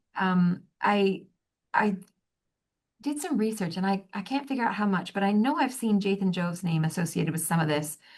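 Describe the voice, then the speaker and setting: Against a quiet background, a woman speaks in a somewhat breathy voice with lively intonation. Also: medium pitch for a woman. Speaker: human resources director. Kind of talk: interview. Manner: fast.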